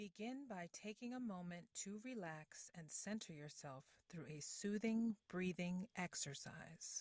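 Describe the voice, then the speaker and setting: In a normal speaking voice, a woman talks at a fairly slow pace and medium pitch with lively intonation, hardly any pauses, and a dry, close sound with no echo. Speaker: voice-over artist practicing. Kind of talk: guided meditation read aloud as voice-over practice. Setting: practice recording. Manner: slow, soothing, calm and gently paced with long pauses; soft-spoken, warm and reassuring.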